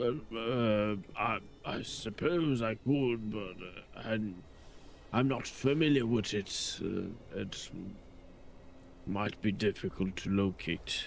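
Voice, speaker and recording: A man performs a put-on character voice at medium pitch and a very slow pace. Long, frequent pauses and clear background noise run through it. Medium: actual play. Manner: measured, dry.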